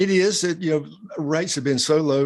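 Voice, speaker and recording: Speaking at a fairly quick pace, a man talks with a South Carolina accent. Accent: South Carolina Southern. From US South, South Carolina. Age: 60s. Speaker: bank president. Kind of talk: interview.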